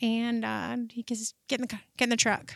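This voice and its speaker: With an American accent, a woman speaks at a fairly slow pace in a bright, sharp tone, her pitch fairly high. Her intonation is monotone and flat, on a very clean recording with a silent background. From Michigan, Detroit suburbs (Shelby Township). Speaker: seed dealer. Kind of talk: casual interview. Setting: studio.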